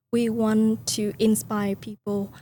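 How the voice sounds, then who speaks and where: A woman with a Vietnamese accent speaks at a fairly high pitch and sounds somewhat breathy. The recording is very clean, with a silent background. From Vietnam (Hanoi, from the countryside). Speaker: company founder. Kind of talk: podcast interview. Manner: hesitant, frequent fillers.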